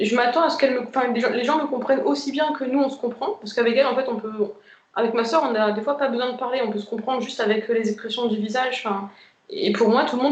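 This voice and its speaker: A woman speaks at a very fast pace with a high pitch and ordinary pitch variation. Noticeable background noise runs underneath. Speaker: twin flame group member sharing experience. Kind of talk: casual group chat on a live video. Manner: hesitant, many fillers.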